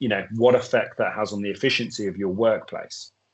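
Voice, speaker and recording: A man with a British accent at a fairly quick pace and fairly even intonation. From UK. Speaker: drug testing expert. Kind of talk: webinar presentation. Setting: webinar video call.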